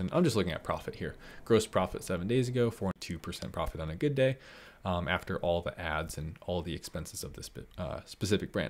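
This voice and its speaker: Fairly quick in pace, this man talks. His pitch is very deep and low. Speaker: online seller hosting a live stream. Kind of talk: live stream tutorial chat. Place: home room.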